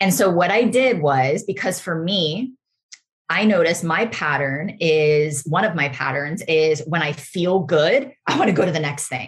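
A somewhat breathy woman, fairly low in pitch, with lively intonation at a fairly slow pace. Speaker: podcast host and spiritual guide. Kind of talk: solo spiritual talk.

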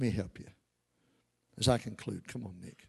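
A man with a Kentucky accent speaks at a moderate pace in an animated tone, his voice showing vocal fry. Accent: US Southern (Kentucky). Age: 60s. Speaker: pastor. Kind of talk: sermon.

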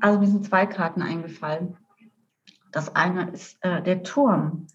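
Here a woman talks at a very slow pace. Her pitch is medium, with ordinary pitch variation. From rural Germany. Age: 50s. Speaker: coach and therapist. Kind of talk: interview.

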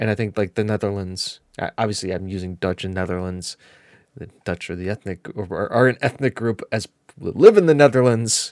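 A man with an American accent talks at a fairly quick pace in a fairly low pitch, with ordinary pitch variation and big swings in loudness. The recording is very clean with a silent background, dry and close with no echo. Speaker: gaming podcast co-host. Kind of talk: casual chat. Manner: animated.

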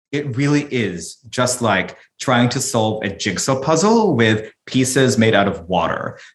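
A man with an unremarkable speaking voice talks at medium pitch. His pace is fairly slow, with hardly any pauses. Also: lively intonation. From Philippines, then Sydney, Australia and California. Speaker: author and corporate diversity advisor. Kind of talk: interview.

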